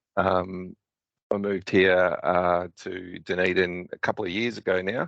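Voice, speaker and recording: In a dry, close recording with no echo and a quiet background, a man with an Australian accent speaks fairly slowly in a very deep, low pitch with ordinary variation. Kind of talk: presentation.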